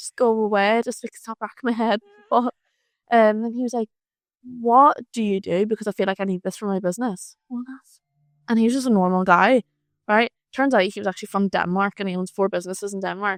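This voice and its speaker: A woman's fairly high voice at a fairly quick pace, with big swings in loudness and a dry, close sound free of echo. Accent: Irish. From Ireland. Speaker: freelance marketer. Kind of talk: casual chat. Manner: animated.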